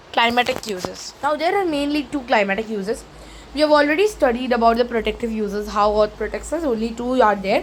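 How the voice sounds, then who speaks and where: Over noticeable background noise, a woman with an Indian accent talks at a fairly quick pace in a high voice with ordinary pitch variation. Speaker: teacher. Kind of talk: lecture.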